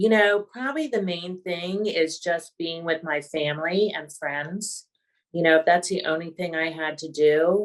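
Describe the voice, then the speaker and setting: This woman has an unremarkable speaking voice with a fairly low pitch. Her pitch variation is ordinary and her pace moderate. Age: 60s. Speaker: patient with multiple sclerosis. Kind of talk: interview.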